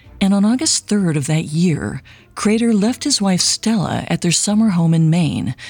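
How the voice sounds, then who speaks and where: A woman with a dramatic tone and lively intonation, fairly low in pitch, somewhat breathy, at a fairly slow pace. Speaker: podcast host. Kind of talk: true-crime narration. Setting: studio. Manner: measured, dramatic storytelling.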